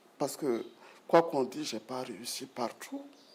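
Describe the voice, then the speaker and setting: A man talks very slowly, with noticeable noise behind him. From Burkina Faso, Bobo-Dioulasso. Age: 60s. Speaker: retired broadcast executive and writer. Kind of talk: interview.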